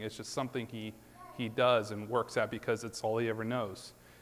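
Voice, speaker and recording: A man talks at a medium pitch and keeps a moderate tempo. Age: 30s. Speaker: lay preacher. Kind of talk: sermon. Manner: casual, hesitant.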